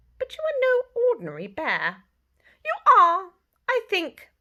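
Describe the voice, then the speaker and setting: The speaker uses a squeaky, put-on character voice. The pace is moderate. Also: woman, extremely high pitch for a woman. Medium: read story.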